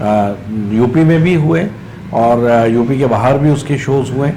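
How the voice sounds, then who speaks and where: Noticeable background noise and audible room echo surround a man talking at a medium pitch with ordinary pitch variation. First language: Marathi (speaking Hindi). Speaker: theatre actor and director. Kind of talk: interview. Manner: hesitant, many fillers.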